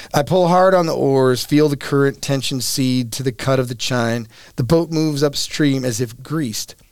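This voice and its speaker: A man in an ordinary speaking voice with ordinary pitch variation. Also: fairly high pitch for a man, moderate pace. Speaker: author and river guide. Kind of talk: casual interview chat.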